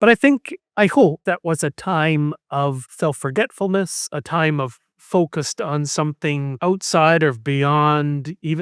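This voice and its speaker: This man's fairly high voice shows ordinary pitch variation, recorded dry and close with no echo in a very clean, silent setting. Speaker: history professor. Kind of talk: podcast interview. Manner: halting, many repetitions; reflective.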